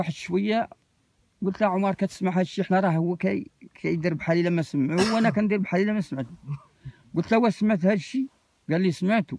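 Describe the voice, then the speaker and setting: Over a quiet background, a man talks at a high pitch with ordinary pitch variation. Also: dry sound with no echo. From M'hamid, Zagora, Morocco. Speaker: desert nomad, former caravan traveller. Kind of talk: oral storytelling. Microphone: phone near.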